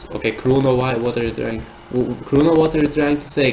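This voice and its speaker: A man talks at a moderate pace with a non-native accent. Noticeable background noise runs underneath. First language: not English. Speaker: live streamer. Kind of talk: live stream chat reading and commentary. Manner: halting, many repeated words.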